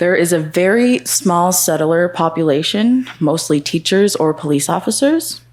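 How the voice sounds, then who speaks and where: A woman talks at a moderate pace and a fairly low pitch, with hardly any pauses and very even loudness. It is a plain, everyday voice with lively intonation. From Nunatsiavut, Labrador, northern Canada. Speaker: student panelist. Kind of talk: panel self-introduction. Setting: conference panel with live audience.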